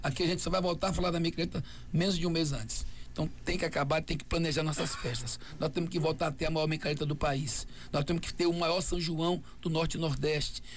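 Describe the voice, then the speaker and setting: A man's fairly high voice with vocal fry, at a very fast pace. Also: very even loudness. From Brazil, Bahia (Feira de Santana). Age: 60s. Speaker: mayoral candidate, politician. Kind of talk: radio interview. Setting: radio studio. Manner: animated.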